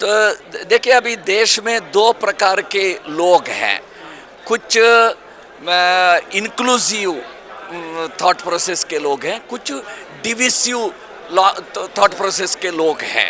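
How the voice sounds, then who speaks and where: With a Kannada accent and ordinary pitch variation, the voice comes through noticeable background noise. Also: man, high pitch for a man. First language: Kannada (speaking Hindi). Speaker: language activist. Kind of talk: interview. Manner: hesitant, with filler sounds.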